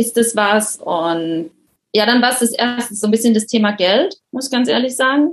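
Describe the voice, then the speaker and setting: In an ordinary speaking voice, a woman with fairly high pitch talks at a moderate pace with lively intonation. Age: 30s. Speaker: coaching client, project manager. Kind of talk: interview.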